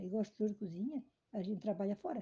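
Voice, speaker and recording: A woman's fairly high, somewhat breathy voice with a dark, mellow tone, lively intonation, and a very fast pace. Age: 70s. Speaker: retired cook. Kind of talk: family interview. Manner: halting.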